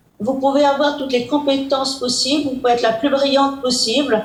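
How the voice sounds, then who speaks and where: The woman's pitch is high and her pace moderate. Audible room echo surrounds her voice. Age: 90s. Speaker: president of a domestic violence charity. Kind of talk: interview. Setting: video call. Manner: hesitant.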